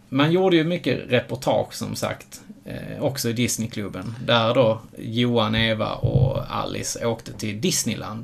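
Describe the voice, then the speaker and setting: A man speaks at a fairly slow pace while noticeable background noise fills the recording. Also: medium pitch for a man, ordinary pitch variation. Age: 30s. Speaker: podcast co-host. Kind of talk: casual chat.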